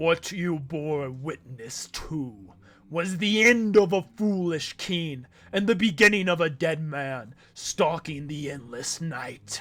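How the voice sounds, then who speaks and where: This is a put-on character voice. It unfolds at a fairly slow pace. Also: man, fairly high pitch for a man. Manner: ominous.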